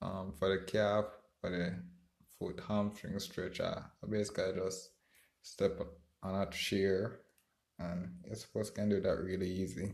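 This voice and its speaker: A man speaks in a fairly low, monotone voice at a moderate pace. He takes long, frequent pauses. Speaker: podcast host. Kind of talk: solo podcast monologue, casual. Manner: halting, with many fillers and repetitions; speaks low, self-conscious about speaking.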